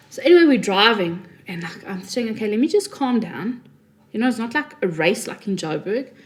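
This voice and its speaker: A woman's fairly high voice with a Johannesburg accent, lively intonation, big swings in loudness and a fairly quick pace, over noticeable background noise. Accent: Johannesburg South African. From South Africa (Johannesburg, teens in Cape Town). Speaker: podcast co-host. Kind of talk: casual chat.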